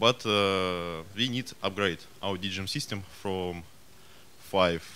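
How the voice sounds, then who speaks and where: In a Russian accent, a man talks at a very slow pace, his pitch very deep and low and his tone bright and sharp. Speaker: audience member asking a question. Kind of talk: audience question. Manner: halting.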